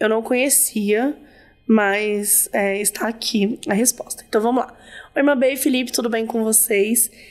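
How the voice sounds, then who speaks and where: In a normal speaking voice, a woman talks at a fairly slow pace and fairly high pitch with ordinary pitch variation. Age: 30s. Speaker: podcast host. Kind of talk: casual chat; reading aloud a listener story with casual commentary.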